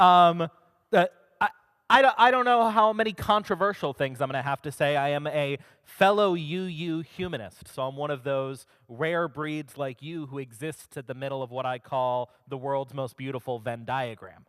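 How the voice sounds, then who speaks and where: With an ordinary speaking voice, a man talks at a moderate pace, his fairly high pitch and lively intonation standing out. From Maryland, US. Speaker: humanist organization director, speaker. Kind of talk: talk to a congregation. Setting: stage with audience.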